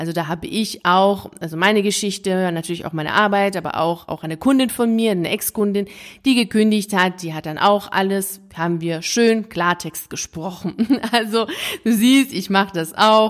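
A woman with a plain, everyday voice at medium pitch, moderate pace and ordinary pitch variation. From Iran (Tehran), schooled early years there. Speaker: podcast host and coach for teachers. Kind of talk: solo podcast monologue with personal story. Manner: casual, conversational with laughter.

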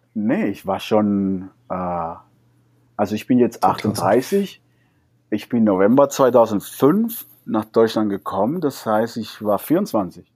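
Very slow speech from a man at medium pitch, in a Spanish accent with ordinary pitch variation. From Cuba. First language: Spanish (speaking German). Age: 30s. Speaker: salsa dancer and teacher. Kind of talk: interview.

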